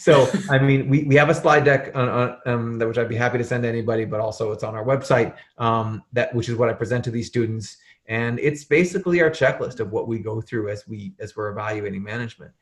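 A man's somewhat breathy voice at medium pitch, very fast pace and ordinary pitch variation. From Arizona. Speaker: portfolio manager. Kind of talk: podcast interview.

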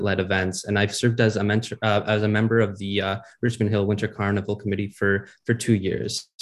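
A man with an ordinary speaking voice, fairly low pitch and a Canadian accent, against a quiet background. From Ontario, Canada. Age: young. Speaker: municipal election candidate. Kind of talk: interview.

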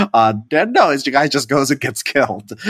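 In a dry, close sound with no echo, a man talks with an American accent. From Chicago south suburbs, US Midwest. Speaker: podcast host. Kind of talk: casual chat.

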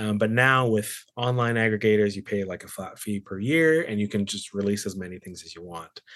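A man with a normal speaking voice and a Canadian accent talks at a moderate pace over a quiet background. His pitch is fairly low, with ordinary variation. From Canada, British Columbia (Surrey). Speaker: Bible professor and musician. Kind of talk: casual interview.

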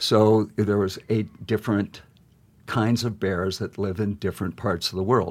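The speaker uses an American accent with monotone, flat intonation at a fairly slow pace. The recording is very clean, with a silent background. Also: man, fairly low pitch for a man. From Montana, US. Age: 60s. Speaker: painter and printmaker. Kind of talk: interview. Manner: halting, many fillers.

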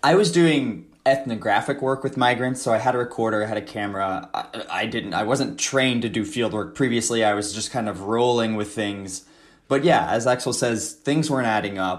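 The voice is a normal speaking voice. Its pitch variation is ordinary. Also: man, medium pitch for a man, fairly quick pace. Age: 30s. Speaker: author and anthropologist. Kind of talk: interview. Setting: remote call.

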